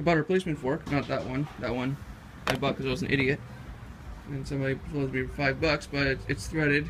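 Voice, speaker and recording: A man speaks with noticeable background noise. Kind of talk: casual project walkthrough. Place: garage. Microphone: phone near.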